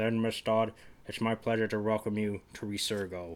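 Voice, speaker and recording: A man puts on a character voice at a medium pitch. His intonation stays monotone and flat. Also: moderate pace. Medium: read story. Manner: polite, coolly menacing.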